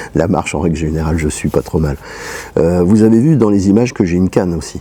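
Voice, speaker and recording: A man with a very deep, low voice talks fairly quickly, with ordinary pitch variation, against noticeable background noise. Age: 60s. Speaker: travel vlogger with a leg amputation. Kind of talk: vlog monologue. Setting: at home. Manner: halting, many fillers.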